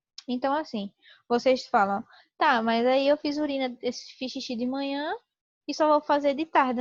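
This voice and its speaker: The woman's voice is high-pitched, with ordinary pitch variation at a moderate pace. The sound is dry and close with no echo, over a quiet background. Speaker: teacher. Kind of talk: lecture.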